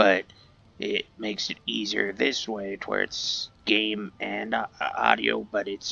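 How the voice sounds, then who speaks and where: A man's voice with music in the background. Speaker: gaming video creator. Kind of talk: let's play commentary. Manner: loud; halting.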